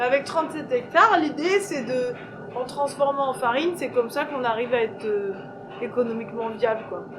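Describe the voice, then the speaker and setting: Noticeable background noise surrounds a woman with a high pitch. She talks at a fairly quick pace with lively intonation. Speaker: farmer. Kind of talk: interview during farm tour. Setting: outdoors. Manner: hesitant, many fillers.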